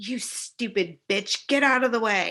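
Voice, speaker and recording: A woman puts on a growling character voice with a fairly high pitch. She speaks at a fairly slow pace. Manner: harsh, hostile.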